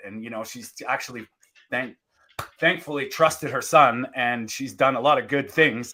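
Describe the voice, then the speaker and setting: A man talks at a moderate pace in a bright, sharp tone. His pitch variation is ordinary. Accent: Canadian. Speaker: podcast host. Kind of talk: casual interview chat. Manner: halting, many restarts.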